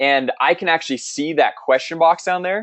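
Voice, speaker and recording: Speaking at a very fast pace, a man with a high-pitched voice sounds upbeat. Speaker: webinar presenter, software marketer. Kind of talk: sales webinar. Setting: online webinar. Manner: fast when excited; upbeat, casual.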